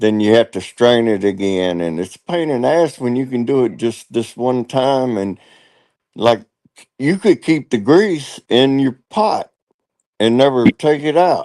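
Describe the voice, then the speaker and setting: This man speaks fairly slowly at a medium pitch, with lively intonation and a dark, mellow tone. The sound is dry and close, with no echo. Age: 60s. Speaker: live streamer. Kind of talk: casual chat.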